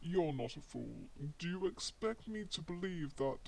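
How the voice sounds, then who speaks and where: Putting on a character voice, a man speaks at a high pitch with lively intonation over clear background noise. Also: moderate pace. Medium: audio drama. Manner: cool, dry, understated.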